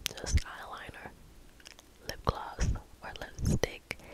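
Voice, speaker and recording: A woman is whispering. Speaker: ASMR creator. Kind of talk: ASMR whisper ramble. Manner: whispered; soft-spoken, calm. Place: home room. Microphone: studio mic.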